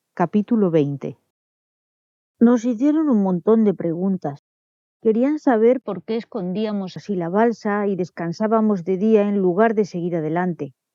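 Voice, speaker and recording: Recorded dry and close with no echo, a woman talks fairly slowly at a medium pitch, her dark, mellow tone carried by lively intonation. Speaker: audiobook narrator. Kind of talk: audiobook reading.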